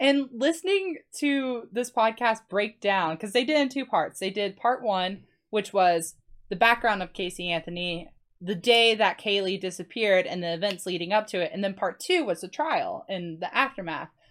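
An ordinary speaking voice from a woman with an American accent, medium pitch, lively intonation and a moderate pace, on a very clean recording with a silent background. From Florida Panhandle. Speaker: podcast guest, former co-host. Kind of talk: casual chat.

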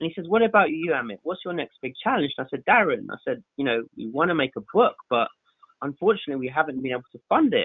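A man with a London accent talks very fast at a high pitch. His pitch swings very widely, and his loudness swings a lot too. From West London (Southall), England. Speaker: photographer. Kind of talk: podcast interview. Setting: podcast recording.

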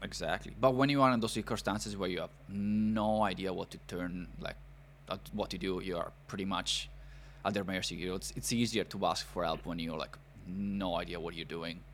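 A man with an Italian accent, very deep and low in pitch, with vocal fry, ordinary pitch variation and a fairly quick pace. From northern Italy, near Milan. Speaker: podcast host, immigrant. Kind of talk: interview podcast.

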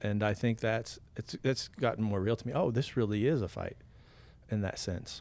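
An unremarkable speaking voice, ordinary in pitch variation, keeps a moderate pace. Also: man, medium pitch for a man. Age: 50s. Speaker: pastor and podcast host. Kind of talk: casual faith conversation.

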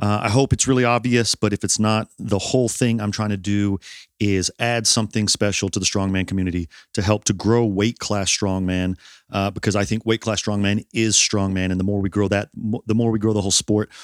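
In a New York accent, a man talks at a fairly quick pace and fairly low pitch with monotone, flat intonation, in a very clean recording with a silent background and a dry, close sound with no echo. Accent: American (New York). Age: 40s. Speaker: strongman athlete and podcast host. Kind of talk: casual chat.

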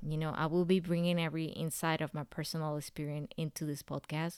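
On a very clean recording with a silent background, a woman with a Spanish accent speaks at a very deep, low pitch, the sound dry and close with no echo. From Central America. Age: 30s. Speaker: podcast host. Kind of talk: personal monologue.

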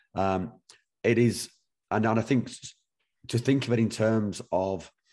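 A man with a British accent talks at a fairly slow pace in a dark, mellow tone. His intonation is fairly even, and the background is quiet. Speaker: podcast host. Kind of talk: casual interview conversation.

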